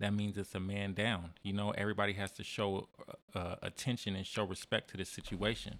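A man with an American accent speaks fairly quickly in a fairly low, monotone, flat voice. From San Diego, California. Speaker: musician. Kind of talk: casual chat.

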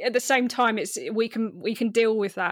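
At a moderate pace, a woman speaks in a fairly high pitch. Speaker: podcast host. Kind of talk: casual chat. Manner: loud.

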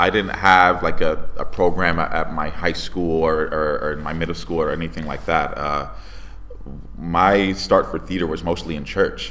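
Recorded with audible room echo and noticeable background noise, a man with a very deep, low pitch speaks at a moderate pace with fairly even intonation. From Connecticut, Bridgeport. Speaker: stage actor. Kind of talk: interview. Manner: halting, many repetitions and fillers.

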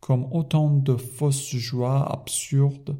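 Dark, mellow tone from a man, somewhat breathy, in a monotone, flat intonation at a fairly slow pace. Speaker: French language teacher. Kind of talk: reading aloud with translation.

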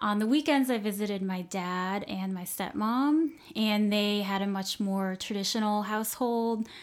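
A woman speaks at a medium pitch and moderate pace, with ordinary pitch variation. She has an ordinary speaking voice. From US South, Southwest Florida. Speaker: podcast guest. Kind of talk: interview. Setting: kitchen table recording.

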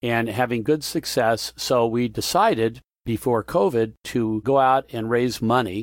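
A man's unremarkable speaking voice at medium pitch, with fairly even intonation and a dry, close sound with no echo. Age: 60s. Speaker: entrepreneur. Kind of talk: interview storytelling.

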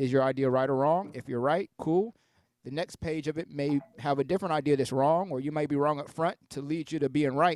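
This is a plain, everyday voice: a man with an American accent, fairly high in pitch, moving at a fairly quick pace. His pitch varies in an ordinary way, and the sound is dry and close with no echo. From Columbus, Ohio, US Midwest. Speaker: DJ. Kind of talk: interview conversation.

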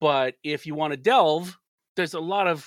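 A man with a plain, everyday voice, fairly high in pitch, speaks at a moderate pace in a very clean recording with a silent background and a dry, close sound with no echo. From US South, Alabama. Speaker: music journalist and radio DJ. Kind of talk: casual interview chat.

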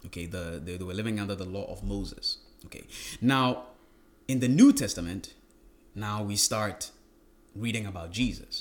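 The man's delivery moves at a moderate pace. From Ghana. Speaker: pastor. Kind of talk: casual interview. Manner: halting.

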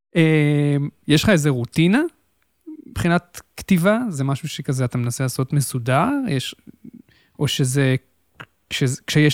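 A man at a fairly high pitch and moderate pace, with long, frequent pauses, ordinary pitch variation, and a dry, close sound with no echo. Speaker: podcast host. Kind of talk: interview. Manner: formal host voice.

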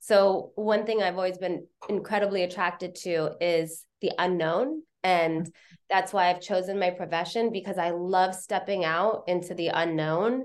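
Against a quiet background, a woman speaks in a normal speaking voice at a medium pitch. She keeps a moderate pace with fairly even intonation. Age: 50s. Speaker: television commercial director and producer. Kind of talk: casual interview conversation. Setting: video call.

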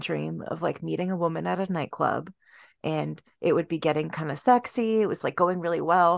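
A woman's fairly quick speech with vocal fry. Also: quiet background. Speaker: podcast co-host. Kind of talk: casual chat.

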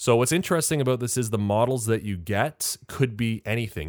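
A man with an unremarkable speaking voice and ordinary pitch variation, on a very clean recording with a silent background. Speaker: podcast host. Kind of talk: casual chat.

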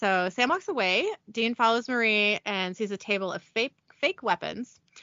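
Someone reading aloud in a natural voice over a quiet background.

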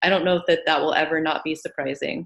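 A woman speaks at a fairly low pitch. Her pitch variation is ordinary. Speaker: hypnosis practitioner. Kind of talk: casual chat. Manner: calm, soft-spoken.

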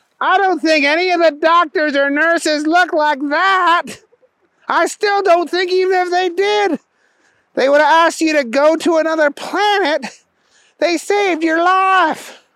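This is a put-on character voice at an extremely high pitch. It moves along at a moderate pace. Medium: read story.

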